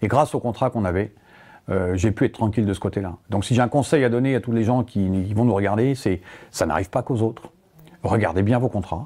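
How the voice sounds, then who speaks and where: With a dark, mellow tone, a man talks at a fairly quick pace and a fairly low pitch. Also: ordinary pitch variation. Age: 60s. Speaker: company founder, cancer survivor. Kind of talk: testimony. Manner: hesitant, with frequent filler sounds.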